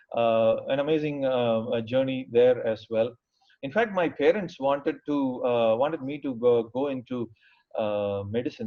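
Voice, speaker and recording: A man at a medium pitch with a South Indian accent. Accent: South Indian (Tamil) English. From Tamil Nadu, India (small town). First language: Tamil. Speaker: engineer and IT professional. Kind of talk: career talk. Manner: hesitant, many fillers.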